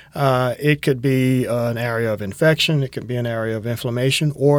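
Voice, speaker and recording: A man with a Georgia accent speaks at a medium pitch with ordinary pitch variation. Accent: Southern American (Georgia). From US South, Tifton, south Georgia. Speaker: thoracic surgeon. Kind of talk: medical interview podcast. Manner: many filler words (uh, um).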